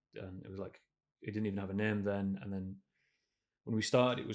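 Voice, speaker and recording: Speaking in a northern English accent, a man with fairly low pitch goes at a very fast pace. His intonation is monotone and flat, and the recording is very clean with a silent background. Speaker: game developer. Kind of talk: interview. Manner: casual, halting with fillers.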